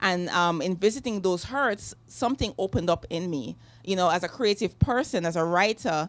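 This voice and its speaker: In a very clean recording with a silent background, a woman of medium pitch talks with a Jamaican accent. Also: lively intonation, moderate pace. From Jamaica, Kingston. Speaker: novelist. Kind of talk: author interview. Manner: halting, many fillers.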